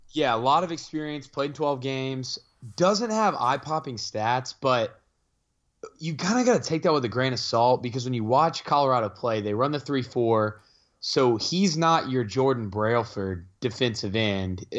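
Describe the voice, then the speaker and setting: Using an unremarkable speaking voice at a medium pitch, a man speaks at a moderate pace with lively intonation. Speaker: sports podcast co-host. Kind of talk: casual sports chat.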